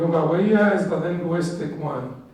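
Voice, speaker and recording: A man speaks fairly slowly at a high pitch with fairly even intonation. Audible room echo and noticeable background noise fill the recording. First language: Arabic. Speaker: Islamic studies teacher. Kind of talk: lecture.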